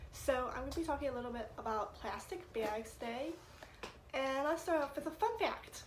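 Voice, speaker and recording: A woman's high voice at a moderate pace, with lively intonation and noticeable background noise. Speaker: student. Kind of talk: class speech presentation. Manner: casual, conversational.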